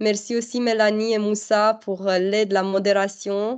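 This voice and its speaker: Speaking very slowly with a non-native accent, a woman keeps a fairly high pitch in a monotone, flat delivery. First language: not French (speaking French). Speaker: webinar presenter for a development fund. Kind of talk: online information webinar Q&A. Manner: halting.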